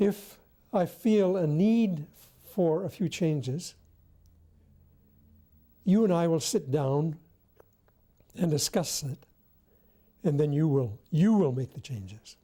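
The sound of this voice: Speaking slowly with long, frequent pauses, a woman has a low pitch, a dark, mellow tone with a slightly husky edge, and lively intonation.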